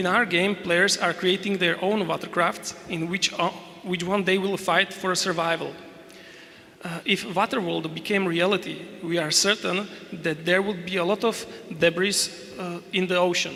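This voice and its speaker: A man with a Slovak accent speaks at a moderate pace in a high, flat monotone. Noticeable background noise runs under his voice. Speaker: game developer. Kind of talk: conference presentation. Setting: stage with audience. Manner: reading aloud, halting.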